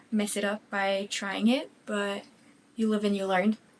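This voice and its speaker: At a moderate pace, a woman with a medium pitch and a slight French Canadian accent speaks in a monotone, flat voice. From Quebec, French Canada. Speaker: craft vlogger. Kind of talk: casual chat. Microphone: new microphone with sound issues.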